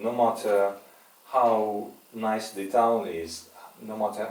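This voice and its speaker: A man's fairly low voice with audible room echo and noticeable background noise. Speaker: hostel owner. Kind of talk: interview. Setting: hostel.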